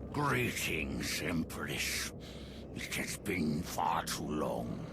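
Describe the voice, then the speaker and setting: Someone uses a put-on character voice at a very slow pace. Loud background noise fills the clip. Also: man, very deep, low pitch for a man. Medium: machinima. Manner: smooth, insinuating.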